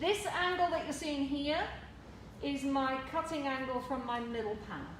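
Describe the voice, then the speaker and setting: Loud and high-pitched, a woman talks at a moderate pace with ordinary pitch variation, with audible room echo and noticeable background noise. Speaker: hairdresser and educator. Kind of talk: tutorial.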